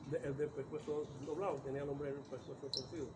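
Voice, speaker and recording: Noticeable background noise sits behind this man's very fast speech. His fairly high pitch stays monotone and flat. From Córdoba, Andalusia, Spain. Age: 70s. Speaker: writer and local chronicler. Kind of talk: oral history interview. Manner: halting.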